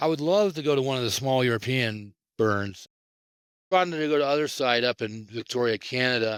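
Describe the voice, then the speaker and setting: An unremarkable speaking voice, this man talks at a medium pitch and a fairly quick pace with lively intonation, in a very clean recording with a silent background and a dry, close sound with no echo. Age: 60s. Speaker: event founder and futurist. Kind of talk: interview.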